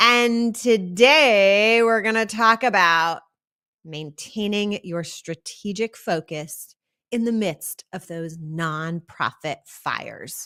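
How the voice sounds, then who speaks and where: A woman talks at medium pitch with a bright, sharp tone and lively intonation. She goes very slowly, and the sound is dry and close with no echo. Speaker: nonprofit leadership coach. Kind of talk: live-streamed training talk. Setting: live stream.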